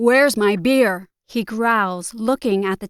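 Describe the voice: Against a quiet background, the text is read plainly, the pitch shifting in an ordinary way.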